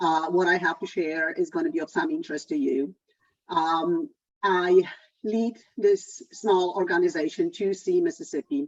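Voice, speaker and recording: In a Polish accent, a woman speaks at a medium pitch with very wide pitch swings. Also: moderate pace. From Poland. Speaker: environmental economist. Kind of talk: lecture.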